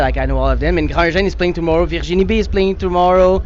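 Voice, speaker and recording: In a Quebec accent, a man talks at a very fast pace. Audible room echo and noticeable background noise are present. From Quebec, Montreal. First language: French. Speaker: musician. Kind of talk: interview. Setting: music festival. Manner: halting.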